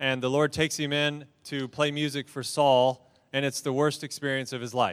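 Fairly high in pitch with fairly even intonation, a man talks in a plain, everyday voice. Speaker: entrepreneur. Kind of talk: seminar panel discussion. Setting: stage with audience.

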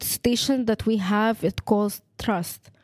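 The speaker has an Arabic accent and talks at a very slow pace with fairly even intonation. The recording is very clean, with a silent background. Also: woman. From Egypt. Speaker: education student. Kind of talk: testimony.

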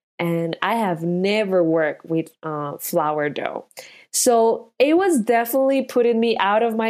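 A woman speaks at a fairly slow pace, her fairly high pitch swinging very widely. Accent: Spanish. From Colombia. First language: Spanish. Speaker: restaurant owner. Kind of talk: interview testimony.

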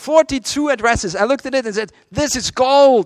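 A man talks at a moderate pace in an animated tone, with a dry, close sound with no echo. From Europe. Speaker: seminar presenter, church lay trainer. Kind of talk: seminar talk with audience interaction. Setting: seminar room with live audience.

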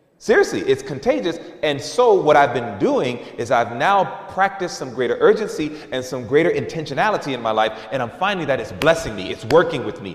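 A fairly high-pitched man with very wide pitch swings and an animated, playful tone, talking at a fairly quick pace with hardly any pauses, amid noticeable background noise and audible room echo. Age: 40s. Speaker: preacher. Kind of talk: sermon, candid personal confession woven into a church message. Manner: conversational and earnest, with repeated fillers like you know; animated, with emphatic repetition and playful mimicry of lax voices.

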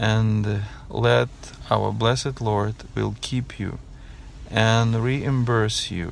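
This voice belongs to a man. His delivery is very slow. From Ukraine. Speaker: clinic director, refugee. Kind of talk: field report. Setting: in a car.

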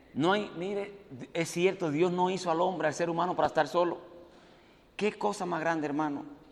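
A man with a high pitch talks at a fairly quick pace, leaving long, frequent pauses and using ordinary pitch variation. The audio carries audible room echo and noticeable background noise. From Dominican Republic. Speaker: preacher, evangelist. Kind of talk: sermon. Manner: animated.

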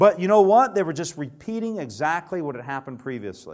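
A man's high voice with lively intonation and a Southern US accent. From Alabama. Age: 30s. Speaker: preacher. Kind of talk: sermon.

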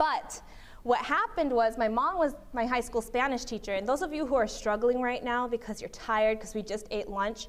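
A woman with an American accent talks at a fairly quick pace, her pitch fairly high and its variation ordinary. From US Midwest (Berrien Springs, Michigan). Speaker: law student and seminar speaker. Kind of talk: seminar talk.

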